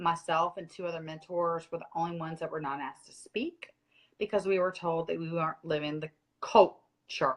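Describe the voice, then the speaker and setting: Speaking at a fairly quick pace, a woman with an American accent has a fairly low pitch and fairly even intonation. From North Carolina, US South. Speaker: former direct-sales mentor. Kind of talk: casual live video Q&A, storytelling.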